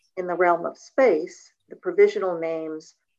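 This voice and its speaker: A woman with a plain, everyday voice speaks at a fairly slow pace and a fairly low pitch. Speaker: study group participant. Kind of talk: reading aloud and discussion.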